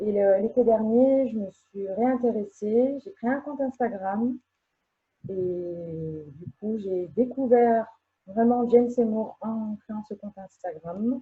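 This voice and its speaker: Speaking at a very slow pace, a woman with a fairly high pitch shows ordinary pitch variation and big swings in loudness. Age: 40s. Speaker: fan. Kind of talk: casual chat.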